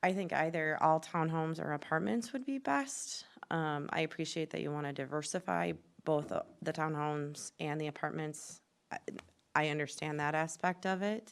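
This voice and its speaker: A soft-spoken woman's very deep, low voice at a moderate pace, with ordinary pitch variation, in a very clean recording over a silent background. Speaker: planning commissioner. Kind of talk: public meeting discussion. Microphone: too quiet, poor mic use.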